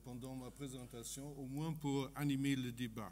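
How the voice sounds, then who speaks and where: A man with a German accent speaks at a very slow pace, his voice somewhat breathy, with audible room echo. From Germany. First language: German (speaking French). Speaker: economist. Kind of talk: conference talk. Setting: conference stage with audience. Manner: halting, many hesitations.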